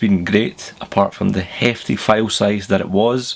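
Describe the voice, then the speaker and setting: A man's medium-pitched voice with a Glaswegian accent. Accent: Glaswegian Scottish. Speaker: tech reviewer. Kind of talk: tech news vlog. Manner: casual, chatty.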